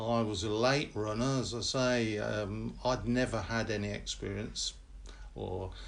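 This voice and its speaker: There is audible room echo as a man talks in a fairly low pitch. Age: 70s. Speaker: parkrun volunteer and veteran marathon runner. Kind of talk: interview. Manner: hesitant, many fillers.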